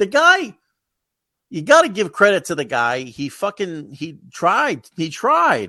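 Against a quiet background, a man with an American accent uses a raised, projected voice with a bright, sharp tone, speaking very slowly at a high pitch with very wide pitch swings. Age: 40s. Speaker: comedian. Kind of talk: casual chat.

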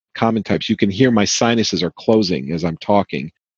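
A man speaks in a plain, everyday voice with a fairly low pitch, a fairly quick pace and ordinary pitch variation. The background is quiet, and the sound is dry and close with no echo. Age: 50s. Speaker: conspiracy theorist interviewee. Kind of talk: interview testimony.

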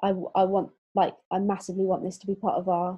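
A woman's medium-pitched, somewhat breathy voice in a flat monotone at a very fast pace. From southwest England, Exeter. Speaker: theology college spouse, former corporate HR lead. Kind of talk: casual interview.

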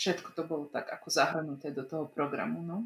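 A woman speaks at a moderate pace with a non-native accent. Her pitch sits fairly low. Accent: non-native-sounding Slovak. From Slovak minority in Vojvodina, Serbia. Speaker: communications expert. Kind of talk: casual interview.

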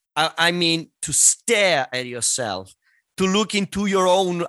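A man speaks with an Italian accent in a bright, sharp tone and lively intonation. The sound is dry and close with no echo, over a quiet background. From Italy. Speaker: singer and voice teacher. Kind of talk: interview.

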